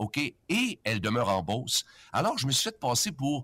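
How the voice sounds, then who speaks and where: A man with a Quebec accent speaks at a moderate pace in a medium pitch, the sound dry and close with no echo. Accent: Québécois French. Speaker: retiring radio host. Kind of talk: storytelling. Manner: animated.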